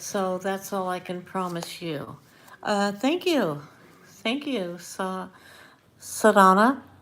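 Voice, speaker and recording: A soft-spoken woman with a medium pitch talks at a very slow pace, leaving long, frequent pauses. Her intonation is lively. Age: old. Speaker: tarot reader. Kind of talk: live stream tarot reading chat.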